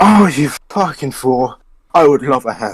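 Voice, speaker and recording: A man's put-on character voice, gruff and fairly high-pitched, with lively intonation at a moderate pace. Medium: actual play. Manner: gruff, swearing.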